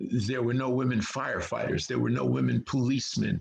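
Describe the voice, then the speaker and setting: A man with a New York accent speaks at a medium pitch. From New York City (Harlem). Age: 70s. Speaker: actor. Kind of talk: interview. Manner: halting, many fillers.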